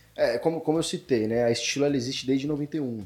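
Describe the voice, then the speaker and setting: The speech runs at a fairly quick pace with lively intonation. Noticeable background noise sits behind it. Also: man. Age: 20s. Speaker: accounting firm owner. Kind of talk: casual chat.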